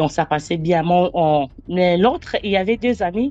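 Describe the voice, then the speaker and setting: A woman with a Congolese accent, a fairly low pitch and a dark, mellow tone, with lively intonation at a fairly slow pace. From DR Congo. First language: not French (speaks seven languages) (speaking French). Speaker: storyteller sharing personal testimony. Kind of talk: testimony. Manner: halting.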